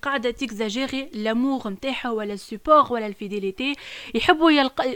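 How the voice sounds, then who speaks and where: A woman's high-pitched voice moves at a fairly quick pace. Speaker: podcast co-host. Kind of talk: casual chat.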